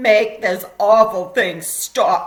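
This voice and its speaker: This is a put-on character voice, female-sounding and growling. Its pitch sits in the medium range for a woman. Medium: read story.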